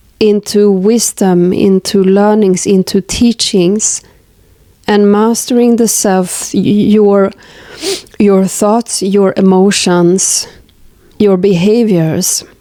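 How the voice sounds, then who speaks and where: A woman speaks at a very slow pace in a monotone, flat intonation with very even loudness. Noticeable background noise runs underneath. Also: medium pitch for a woman. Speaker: tarot reader. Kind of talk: tarot card reading to camera.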